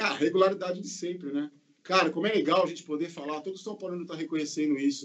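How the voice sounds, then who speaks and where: A man talks at a very fast pace in a high pitch. His loudness swings widely while his pitch varies in an ordinary way. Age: 50s. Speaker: football podcast panelist. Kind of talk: casual chat. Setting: video call.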